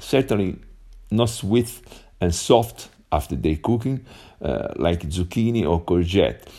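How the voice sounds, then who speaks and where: In an Italian accent, a man speaks with a dark, mellow tone at a fairly low pitch, with vocal fry. His pace is fairly slow, with long, frequent pauses. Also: lively intonation. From Italy. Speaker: English learner. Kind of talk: voice message. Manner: halting.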